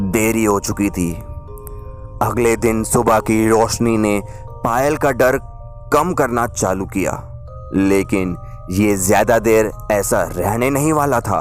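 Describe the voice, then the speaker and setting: A man's medium-pitched voice with ordinary pitch variation, music in the background. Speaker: radio jockey. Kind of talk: radio horror story narration.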